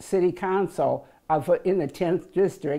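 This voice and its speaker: A woman speaks at a fairly slow pace with an American accent and a fairly low pitch. Her tone is dark and mellow, and her intonation stays fairly even. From US Midwest, Minneapolis. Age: 80s+. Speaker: elderly parishioner. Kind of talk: interview testimony. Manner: halting.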